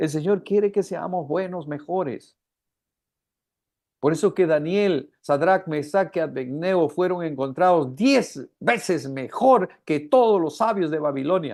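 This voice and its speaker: Against a quiet background, a man speaks at a fairly slow pace with a high pitch and ordinary pitch variation. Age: 60s. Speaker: preacher. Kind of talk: sermon. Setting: live stream.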